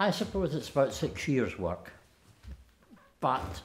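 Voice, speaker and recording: In a Scottish accent, a man speaks at a very slow pace. His pitch swings very wide. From Lanarkshire, Scotland. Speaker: poet. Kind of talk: interview answer. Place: home room.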